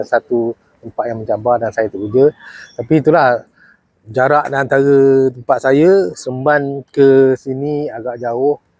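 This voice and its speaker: A man's medium-pitched voice at a fairly slow pace, with a dry, close sound and no echo. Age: 60s. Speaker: retired police officer and volunteer preacher. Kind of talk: casual testimony. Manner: halting, many fillers.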